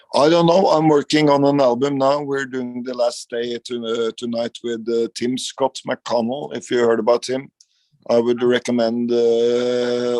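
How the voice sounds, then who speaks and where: In a Norwegian accent, a man speaks at a medium pitch with fairly even intonation, recorded with a dry, close sound and no echo. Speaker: rock guitarist. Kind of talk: interview. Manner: halting.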